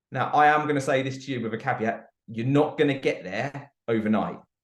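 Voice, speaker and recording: Fairly even intonation marks this voice with a British accent. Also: man. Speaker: network marketing presenter. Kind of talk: sales pitch. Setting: group call.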